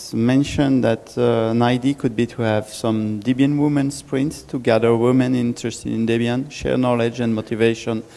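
A man with a normal speaking voice at medium pitch and fairly even intonation. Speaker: relays remote chat comments. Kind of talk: group discussion.

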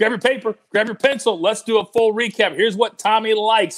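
A man speaks with an energetic tone at a fairly quick pace, his pitch high for a man. The background is quiet. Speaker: sports betting show host. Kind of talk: casual sports betting preview. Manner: energetic, hype-style delivery. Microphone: earbuds.

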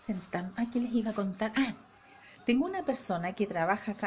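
A woman with a Chilean accent talks at a fairly quick pace with ordinary pitch variation over light background noise. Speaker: family vlogger. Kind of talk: casual vlog talk to camera. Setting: at home. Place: home room. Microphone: phone near.

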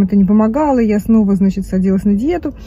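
The sound is dry, with no echo, as a woman talks at a very fast pace. Her pitch varies in an ordinary way. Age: 50s. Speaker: vlogger. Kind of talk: casual chat. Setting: in a car. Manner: animated. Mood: chatty, candid. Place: car. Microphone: phone near.

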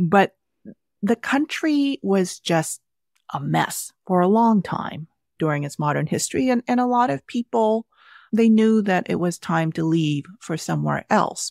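At a medium pitch, a woman speaks at a fairly slow pace with very wide pitch swings. The sound is dry and close with no echo, in a very clean recording with a silent background. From Vietnam (Saigon), raised in Southern California from age six. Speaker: cookbook author. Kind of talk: interview.

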